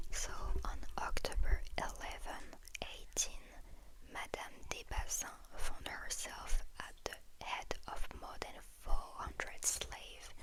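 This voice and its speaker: Whispering at a very slow pace, a woman's loudness swings widely. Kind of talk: ASMR soft-spoken travel talk to camera. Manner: soft-spoken.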